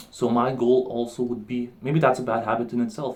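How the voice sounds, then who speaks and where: A man mumbles at a moderate pace. His pitch sits in the medium range. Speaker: vlogger. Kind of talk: casual vlog monologue. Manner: mumbling; animated.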